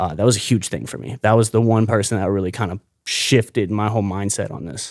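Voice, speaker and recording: Over a very clean recording with a silent background, a man speaks very fast in an American accent with vocal fry. His loudness swings widely. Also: fairly low pitch for a man, ordinary pitch variation. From Florida, St. Petersburg. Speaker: ocean activist and social media creator. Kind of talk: casual interview. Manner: animated, expressive.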